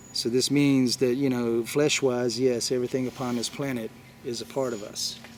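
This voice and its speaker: A man at a medium pitch talks at a moderate pace in a flat monotone, with noticeable background noise. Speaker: spiritual video blogger. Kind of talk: spiritual talk to viewers. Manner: halting, many fillers.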